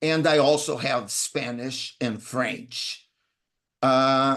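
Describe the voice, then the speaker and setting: A man's fairly high voice with a Portuguese accent, very slow, over a quiet background. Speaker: interpreting instructor. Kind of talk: webinar self-introduction.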